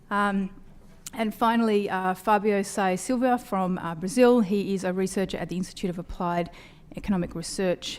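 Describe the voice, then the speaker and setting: With an Australian accent, a woman speaks at a medium pitch and moderate pace. Her intonation is fairly even. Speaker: panel moderator, nonprofit chief executive. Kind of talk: conference panel introduction.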